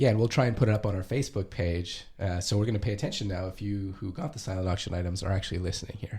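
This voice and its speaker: A man with a fairly low, somewhat breathy voice and a dark, mellow tone talks at a very fast pace with hardly any pauses and ordinary pitch variation. The recording is very clean, with a silent background. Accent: Canadian. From Canada. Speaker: podcast host, primatologist. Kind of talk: casual chat. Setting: conference.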